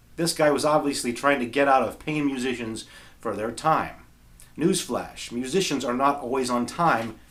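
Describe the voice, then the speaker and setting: With audible room echo, a man speaks at a moderate pace in a medium pitch with ordinary pitch variation. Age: 40s. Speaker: guitarist and video creator. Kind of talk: reading aloud from journal; casual talk to camera.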